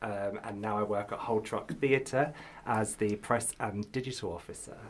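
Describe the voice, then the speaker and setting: A man with a southern English accent, medium in pitch, with fairly even intonation. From southern England, Kent. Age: 30s. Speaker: actor and model. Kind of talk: casual chat.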